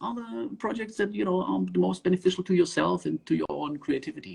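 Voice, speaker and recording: Here a man with a German accent speaks fairly quickly at a high pitch, his voice making very wide pitch swings. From southern Germany (Swabia). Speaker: underwater filmmaker. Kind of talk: casual interview. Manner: hesitant with many fillers.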